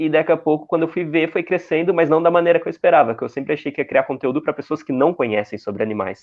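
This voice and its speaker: This man talks very fast in a fairly high voice with ordinary pitch variation. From Santa Catarina, southern Brazil. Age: 20s. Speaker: content creator. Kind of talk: interview.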